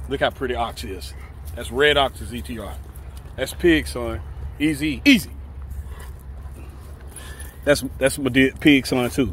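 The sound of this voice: A man's voice at medium pitch with big pitch swings, a fairly bright tone and vocal fry, at a fairly slow pace with long, frequent pauses.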